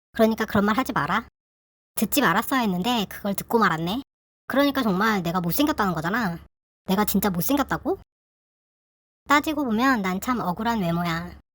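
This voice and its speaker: Fairly quick, fairly high woman's voice with lively intonation and long, frequent pauses, on a very clean recording with a silent background. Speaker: YouTuber sharing personal story. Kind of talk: casual personal talk to viewers. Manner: informal, conversational.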